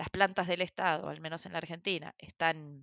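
A woman is speaking. She talks at a moderate pace. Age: 40s. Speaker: social entrepreneur and activist. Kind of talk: interview conversation. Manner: halting, many fillers.

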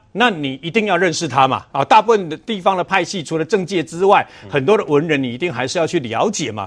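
A man rattles along at a very fast pace with hardly any pauses, his high voice full of lively intonation. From Taiwan, Chiayi. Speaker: senior media commentator. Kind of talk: TV political talk show commentary.

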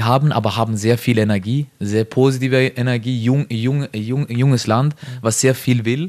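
A man speaks with fairly even intonation. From Norway. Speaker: professional footballer. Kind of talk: interview. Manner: halting.

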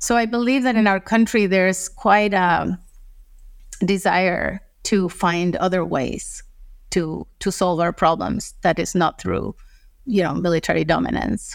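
A woman with a Spanish accent reads at a fairly slow pace, her loudness very even throughout. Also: very clean recording, silent background. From Costa Rica. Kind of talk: interview.

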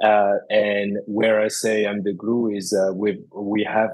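The speaker is a man with a fairly low pitch. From France. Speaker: cooking school founder. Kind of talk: interview. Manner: hesitant, many fillers and repeats.

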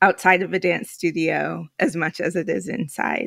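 At a fairly slow pace, a woman speaks with a fairly low pitch and vocal fry. The sound is dry and close with no echo, in a very clean recording with a silent background. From New York, Puerto Rican family. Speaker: executive director of an education philanthropy network. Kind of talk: interview conversation.

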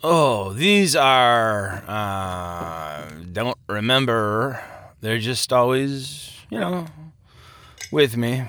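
In a put-on character voice with a fairly bright tone, the words come at a very slow pace. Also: man, medium pitch for a man, lively intonation.

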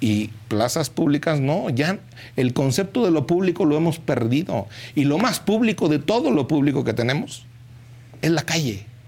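Somewhat breathy, a man speaks at a moderate pace with lively intonation and very even loudness. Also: fairly high pitch for a man. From Mexico, Hidalgo. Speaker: politician. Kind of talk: political commentary.

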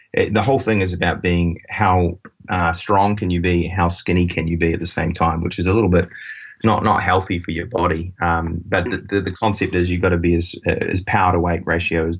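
In a New Zealand accent, the speaker talks at a fairly quick pace with monotone, flat intonation. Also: man, very deep, low pitch for a man. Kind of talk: casual interview conversation.

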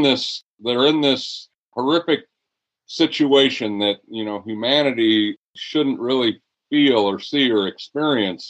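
In a normal speaking voice, a man talks with medium pitch and ordinary pitch variation. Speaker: retired high school teacher, football coach and author. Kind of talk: interview conversation.

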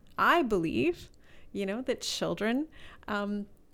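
On a very clean recording with a silent background, a woman speaks very slowly in a fairly high pitch, with lively intonation and vocal fry. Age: 50s. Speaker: charity fundraising director. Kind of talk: interview. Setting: office.

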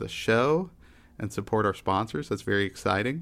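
A man with an American accent and a plain, everyday voice talks at a fairly quick pace, his pitch fairly low with ordinary variation, in a very clean recording with a silent background. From Texas. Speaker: podcast host. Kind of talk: casual chat.

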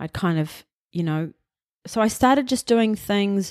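A woman speaks with ordinary pitch variation. The sound is dry and close with no echo, in a very clean recording with a silent background. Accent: New Zealand. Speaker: film producer. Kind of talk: casual interview.

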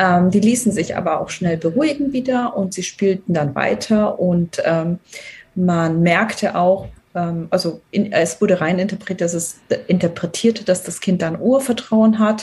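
Very slowly, a woman speaks at a medium pitch with ordinary pitch variation over noticeable background noise. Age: 40s. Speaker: team coach. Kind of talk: podcast interview. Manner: hesitant, many filler sounds.

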